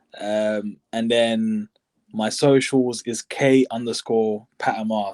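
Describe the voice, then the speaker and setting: A man with a London accent speaks very slowly at a medium pitch, monotone and flat. The recording is very clean, dry and close, with a silent background and no echo. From Southeast London. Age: 20s. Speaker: football coach. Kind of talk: interview. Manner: hesitant.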